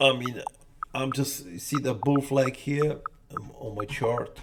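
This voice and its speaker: Over noticeable background noise, a man with a Polish accent speaks at a very slow pace. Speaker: day trader streamer. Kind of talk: live trading commentary. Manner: casual, repetitive.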